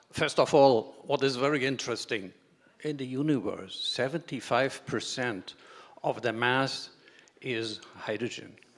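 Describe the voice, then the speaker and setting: The speaker has a German accent and talks at a fairly slow pace. Pitch varies in an ordinary way. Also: man, medium pitch for a man. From Germany. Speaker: engineer, pressure vessel expert. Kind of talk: conference talk. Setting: conference stage. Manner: halting.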